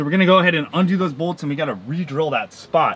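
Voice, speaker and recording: Music plays in the background as a man speaks, with a dry sound and no echo. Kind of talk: tutorial. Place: garage. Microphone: camera far.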